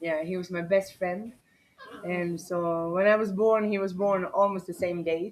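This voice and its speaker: In a Swedish accent, a woman talks at a fairly slow pace with medium pitch and a monotone, flat intonation. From Sweden (Borlänge). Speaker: dog rescuer. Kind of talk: interview. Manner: halting.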